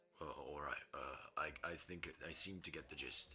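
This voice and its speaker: Someone speaks in a raspy, put-on character voice at a fairly slow pace. Background noise is clearly audible. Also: man. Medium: actual play.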